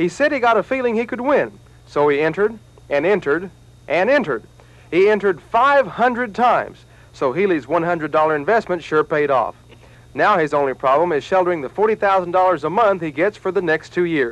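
A man's high-pitched voice at a moderate pace, with very wide pitch swings and a dry sound with no echo. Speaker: TV news reporter. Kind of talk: news narration.

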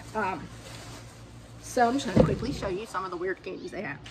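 A woman with an American accent and lively intonation, over loud background noise. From southern Georgia, US South. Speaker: lifestyle YouTuber, dog grooming business owner; lifestyle YouTuber. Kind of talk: casual haul video monologue. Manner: animated. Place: garden. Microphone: phone near.

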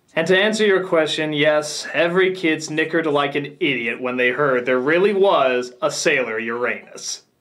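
At a moderate pace with ordinary pitch variation and hardly any pauses, the speaker talks over a quiet background. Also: man. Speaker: comedic reviewer. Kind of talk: comedic review commentary.

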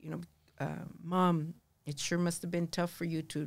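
Against a quiet background, a woman with a fairly low pitch talks at a moderate pace in a monotone, flat intonation. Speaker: podcast guest. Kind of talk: interview answer. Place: studio. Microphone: studio mic.

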